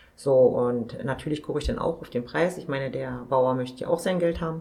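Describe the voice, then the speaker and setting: Over noticeable background noise, a woman with a very deep, low pitch speaks at a fairly quick pace with ordinary pitch variation. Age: 50s. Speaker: supermarket owner-manager. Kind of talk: interview.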